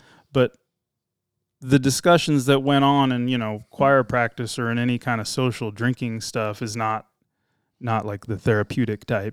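In a very clean recording with a silent background and a dry, close sound with no echo, a man uses an ordinary speaking voice with fairly even intonation at a moderate pace. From California. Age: 40s. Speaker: former police officer. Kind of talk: interview storytelling.

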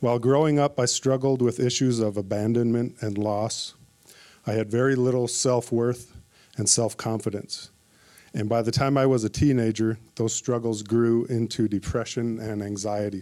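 A man with an Upper Midwest accent, medium in pitch with a dark, mellow tone, monotone and flat, at a moderate pace, in a very clean recording with a silent background. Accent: Upper Midwest American. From Minnesota (Minneapolis). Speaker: church member giving testimony. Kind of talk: testimony.

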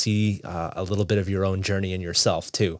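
The speaker uses monotone, flat intonation in an Ontario accent. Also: man, very clean recording, silent background. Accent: Canadian (Ontario). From Toronto, Canada. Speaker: youth pastor. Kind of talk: interview. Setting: studio. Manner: halting, many fillers and repeats.

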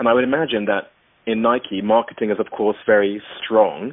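A man with an ordinary speaking voice, medium pitch, at a moderate pace. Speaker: podcast host. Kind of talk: interview, professional conversation.

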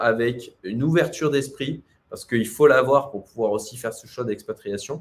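A man's somewhat breathy voice, medium in pitch, at a fairly slow pace with lively intonation. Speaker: entrepreneur and livestreamer. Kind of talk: livestream Q&A about expatriation. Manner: hesitant, many fillers.

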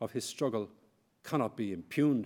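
This is a man speaking. He has an Irish accent. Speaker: historian. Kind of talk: lecture. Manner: formal.

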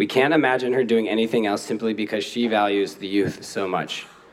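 Audible room echo surrounds a man with an American accent and a medium pitch. He goes at a fairly quick pace with ordinary pitch variation. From Portland, Oregon. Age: young. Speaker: awards event emcee. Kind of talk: ceremony speech. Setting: stage with audience.

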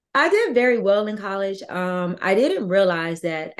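With an American accent, a woman speaks in a normal speaking voice at a medium pitch, her pitch varying in an ordinary way. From Virginia. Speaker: author and army veteran. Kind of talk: interview.

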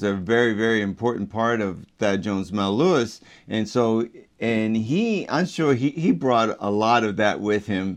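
A man with an American accent and a normal speaking voice talks at a fairly slow pace, medium in pitch for a man. His intonation is lively, and the background is quiet. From Baltimore, US. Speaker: jazz trombonist. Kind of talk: interview.

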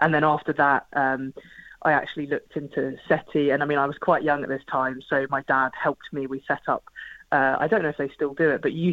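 The speech comes at a fairly quick pace in a southern English accent. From southern England (Portsmouth). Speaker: space scientist and projects manager. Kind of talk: radio interview.

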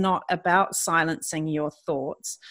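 A woman at a very slow pace with ordinary pitch variation, on a very clean recording with a silent background. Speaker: podcast host and retreat leader. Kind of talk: interview chat.

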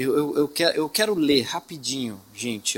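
Bright and sharp in tone, a man's fairly high voice moves with lively intonation at a moderate pace. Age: 30s. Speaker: assistant pastor preaching. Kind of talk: sermon. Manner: halting, repeats words.

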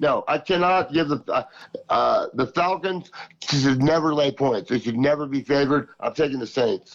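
A man speaks in a normal speaking voice at a fairly high pitch. His pace is moderate and his pitch variation ordinary. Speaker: regular caller. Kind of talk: casual chat. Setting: phone call.

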